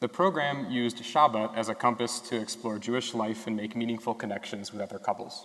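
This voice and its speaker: A man with a western New York accent speaks at a fairly quick pace and a medium pitch, with ordinary pitch variation, hardly any pauses and noticeable background noise. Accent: western New York American. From Rochester, New York. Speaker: medical student. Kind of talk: prepared speech reading.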